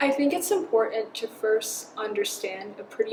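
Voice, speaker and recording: Over noticeable background noise, a woman with an American accent speaks at a moderate pace in a fairly high voice with very wide pitch swings. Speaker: student entrepreneur and model. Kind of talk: interview answer.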